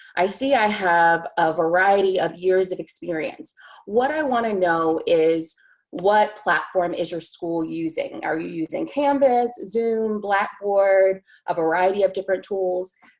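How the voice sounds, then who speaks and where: A woman speaks in a plain, everyday voice with an American accent. Her medium pitch shows ordinary variation at a fairly slow pace. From US South, eastern North Carolina. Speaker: teacher. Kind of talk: webinar presentation.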